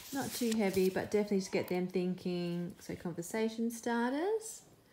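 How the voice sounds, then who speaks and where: A woman at a medium pitch and moderate pace, with ordinary pitch variation and noticeable background noise. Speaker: homeschooling parent reviewing books. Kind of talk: casual book flip-through review.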